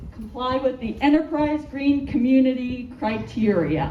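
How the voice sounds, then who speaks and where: A loud woman with a high pitch and ordinary pitch variation speaks at a fairly slow pace, with audible room echo and noticeable background noise. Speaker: architect. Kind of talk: public presentation.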